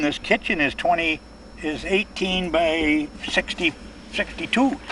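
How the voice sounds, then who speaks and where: Noticeable background noise surrounds a man with an Upper Midwest accent. He talks at a fairly slow pace with ordinary pitch variation. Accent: Upper Midwest American (Michigan). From Michigan (Saginaw). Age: 80s+. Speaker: building contractor. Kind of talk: casual chat. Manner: halting, many fillers.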